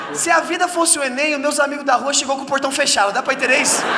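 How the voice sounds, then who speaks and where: Over noticeable background noise, a raised, projected voice rattles along at a very fast pace. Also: man. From Brazil. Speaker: stand-up comedian. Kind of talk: stand-up comedy set. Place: stage. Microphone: handheld.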